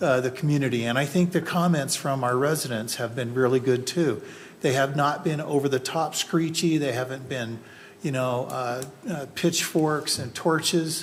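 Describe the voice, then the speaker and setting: A man's plain, everyday voice, fairly high in pitch, with ordinary pitch variation and a moderate pace. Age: 60s. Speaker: planning commissioner. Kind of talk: public meeting deliberation.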